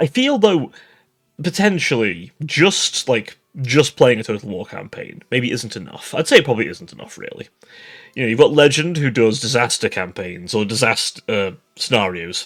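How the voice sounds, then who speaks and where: Swinging very widely in pitch and greatly in loudness, a man talks at a moderate pace. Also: medium pitch for a man. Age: young. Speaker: VTuber streamer. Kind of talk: casual vlog monologue.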